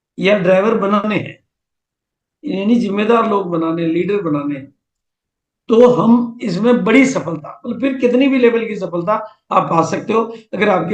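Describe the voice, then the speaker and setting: A man's high-pitched voice with ordinary pitch variation and audible room echo. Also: long, frequent pauses. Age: 70s. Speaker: business motivational speaker. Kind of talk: seminar talk.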